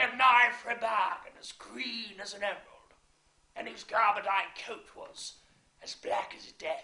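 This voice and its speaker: A put-on character voice, fairly high in pitch, at a moderate pace with slight echo. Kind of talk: theatrical monologue. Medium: stage play. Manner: sly, relishing.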